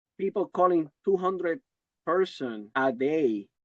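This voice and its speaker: Very slowly, a man with a fairly high pitch speaks with very wide pitch swings in a dry, close sound with no echo. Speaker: insurance agent. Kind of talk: casual chat.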